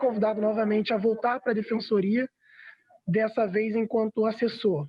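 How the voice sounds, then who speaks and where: The speaker is a man. His voice is high in pitch. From Rio de Janeiro, Brazil (west zone favela). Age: 20s. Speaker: youth affairs official. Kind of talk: interview. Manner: hesitant, frequent fillers.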